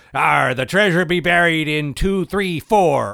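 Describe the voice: A man puts on a character voice pitched high. He speaks at a very slow pace.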